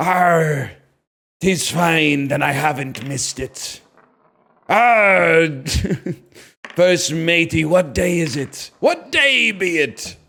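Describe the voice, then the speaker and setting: Someone delivers a raspy, put-on character voice at a very slow pace, with long, frequent pauses. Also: man, fairly high pitch for a man. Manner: theatrical, comic.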